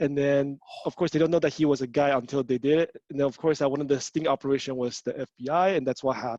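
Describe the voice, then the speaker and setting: A man with a fairly high pitch speaks at a very fast pace in a dark, mellow tone, his intonation fairly even, the sound dry and close with no echo. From Taiwan. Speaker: life coach. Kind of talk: casual chat.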